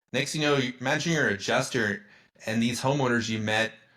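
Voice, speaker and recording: Animated and bright, with a sharp tone, the voice comes through on a very clean recording against a silent background. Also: man. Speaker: homeowner insurance advocate. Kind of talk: podcast interview. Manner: stuttering.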